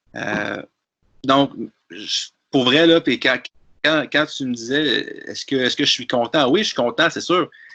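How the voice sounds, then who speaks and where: A man's fairly high, bright, sharp voice in a Quebec accent, fairly slow with long, frequent pauses and ordinary pitch variation, over a quiet background. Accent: Québécois French. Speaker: tabletop wargame player. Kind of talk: casual discussion. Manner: hesitant with frequent repetitions.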